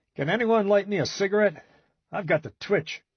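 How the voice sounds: Putting on a character voice, a man sounds strained as he speaks in a high pitch at a moderate pace.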